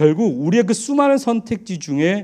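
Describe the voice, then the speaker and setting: On a very clean recording with a silent background, a man with a dark, mellow tone speaks at a moderate pace. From Daegu, South Korea. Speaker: pastor. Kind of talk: sermon.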